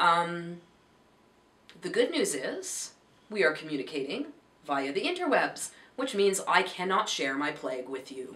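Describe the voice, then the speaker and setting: Over noticeable background noise and audible room echo, a woman with a fairly low pitch speaks with very wide pitch swings. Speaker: crochet and knitting vlogger. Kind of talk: casual vlog chat. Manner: rambling, hesitant with fillers.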